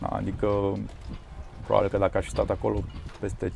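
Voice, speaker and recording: His pace is moderate. The man's voice sits at a fairly low pitch. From Transylvania, Romania. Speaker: tech company founder. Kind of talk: interview.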